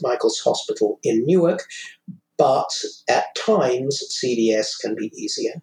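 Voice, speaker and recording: A man with a British accent, music in the background. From United Kingdom. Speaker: vaccine appointment volunteer. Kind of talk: interview.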